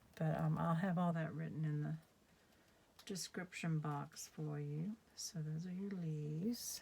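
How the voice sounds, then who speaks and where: A woman speaks at a very deep, low pitch with a dark, mellow tone. Her voice is somewhat breathy and her intonation fairly even. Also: fairly slow pace. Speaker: craft demonstrator. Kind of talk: tutorial. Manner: sometimes gets very quiet; casual, hesitant with fillers.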